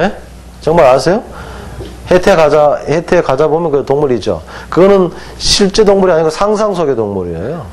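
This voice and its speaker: With a slight Gangwon accent, a man speaks in a fairly high voice with an animated tone and lively intonation at a moderate pace, leaving long, frequent pauses amid audible room echo. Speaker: hanja teacher. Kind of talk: lecture. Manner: animated, asks students questions.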